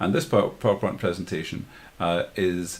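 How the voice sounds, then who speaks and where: A man with a very deep, low pitch and a Glasgow accent. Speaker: live streaming tutor. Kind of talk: tutorial. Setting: livestream with screen share. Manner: fast; halting, many fillers and repeats.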